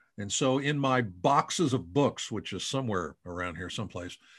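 A man's voice with very wide pitch swings. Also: quiet background. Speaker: podcast host and yearbook company representative. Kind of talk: podcast interview. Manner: animated.

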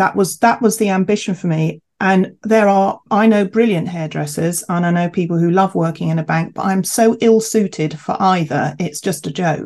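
A woman with a southern English accent speaks at a medium pitch with ordinary pitch variation. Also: moderate pace, hardly any pauses. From England, Kent. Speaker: chief executive of a homeopathy professional body. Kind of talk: interview conversation.

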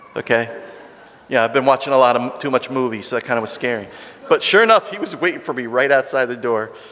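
Against noticeable background noise, a man talks at a very fast pace in an animated tone with ordinary pitch variation. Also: medium pitch for a man. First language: not Italian. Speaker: missionary. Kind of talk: storytelling.

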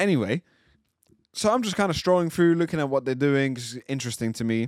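Over a very clean recording with a silent background, a man at a medium pitch talks at a fairly quick pace with very wide pitch swings. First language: not English. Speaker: podcast co-host. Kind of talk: casual chat podcast. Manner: joking, informal.

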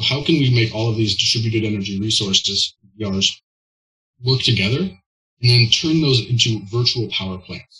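A man's fairly low, bright, sharp voice with an American accent, fairly quick and with ordinary pitch variation. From US Pacific Northwest (Olympia, Washington). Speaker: startup founder and CEO in energy tech. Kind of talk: interview.

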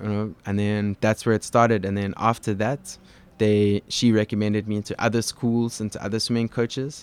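On a very clean recording with a silent background, a man speaks in a fairly low voice at a moderate pace, his intonation monotone and flat. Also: dry, close sound with no echo. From South Africa, Cape Town. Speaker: genetics researcher and former swim coach. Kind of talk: podcast interview.

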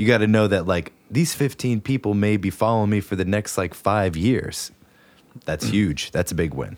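A man with an American accent speaks at a moderate pace in a plain, everyday voice. His pitch is fairly low, with ordinary pitch variation. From West Virginia. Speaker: podcast co-host and musician. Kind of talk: casual chat. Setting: studio.

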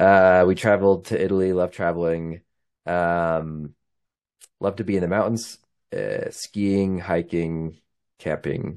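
With a Utah accent, a man talks at a fairly slow pace in a very deep, low voice, his intonation fairly even and his pauses long and frequent, against a quiet background. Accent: Western US (Utah). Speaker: podcast host, amateur runner. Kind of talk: casual solo monologue, race recap. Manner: casual with many filler words.

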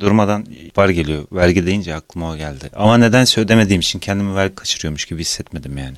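Talking very fast with hardly any pauses, a man uses a very deep, low voice with ordinary pitch variation and big swings in loudness. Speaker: podcast co-host, sound engineer. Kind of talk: casual chat.

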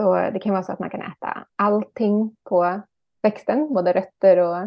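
The woman has a plain, everyday voice at medium pitch. She talks fairly slowly, with fairly even intonation. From Ekerö outside Stockholm, Sweden. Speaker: author and gardening teacher. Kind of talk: casual interview chat.

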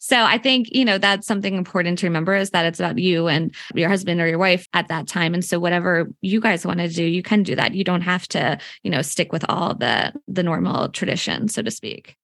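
In a normal speaking voice, a woman with an American accent talks at a fairly quick pace with hardly any pauses. Her pitch variation is ordinary. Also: fairly low pitch for a woman, quiet background. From Philadelphia area, Pennsylvania. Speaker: publicist and podcast host. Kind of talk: casual interview chat.

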